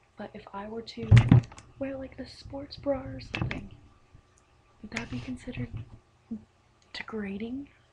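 Loud background noise runs under a woman who speaks with long, frequent pauses. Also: moderate pace. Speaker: vlogger. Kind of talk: exasperated personal vlog rant answering critical messages. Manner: rambling, filler-heavy with repeated likes and ums; indignant, profane venting that trails off into a laugh. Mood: exasperated, incredulous. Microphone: webcam.

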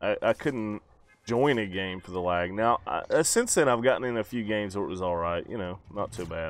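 This man has an ordinary speaking voice, a fairly low pitch and ordinary pitch variation, and speaks at a moderate pace. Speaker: YouTuber. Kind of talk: casual chat.

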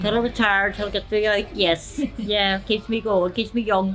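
A woman with a Belfast accent speaks at a medium pitch and a moderate pace, her intonation monotone and flat. Her loudness stays very even, with clear music in the background. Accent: Belfast Northern Irish. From Northern Ireland. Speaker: fast food restaurant worker. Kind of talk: interview; interview answer. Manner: hesitant, filler-heavy. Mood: cheerful, warm. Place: cafe.

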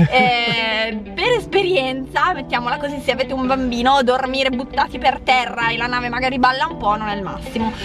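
Over clear music in the background, a high-pitched woman talks at a fairly quick pace with ordinary pitch variation, in a dry sound with no echo. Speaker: travel vlogger. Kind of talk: casual vlog chat. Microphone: phone near.

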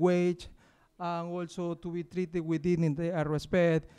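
A man speaks with an Ecuadorian accent at a moderate pace. The background is quiet. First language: Spanish. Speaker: university cleaner and union campaigner. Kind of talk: public talk. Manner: halting. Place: stage. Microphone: handheld.

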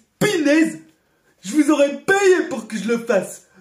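This cartoonish character voice has a whiny tone. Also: man. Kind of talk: cartoon voice dubbing. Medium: fan dub. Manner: goofy, whiny, excitable.

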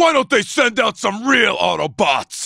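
A man shouting in a put-on character voice at a moderate pace. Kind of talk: video game combat barks. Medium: dub. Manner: cocky, taunting.

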